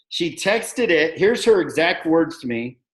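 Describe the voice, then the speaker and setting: A man with an American accent and a high pitch, at a moderate pace against a quiet background. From United States. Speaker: network marketing sponsor. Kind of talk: video call team meeting.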